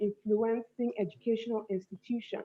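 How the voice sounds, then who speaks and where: This woman's voice sits at a fairly high pitch. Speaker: youth forum panelist. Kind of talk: panel presentation. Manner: fast; halting.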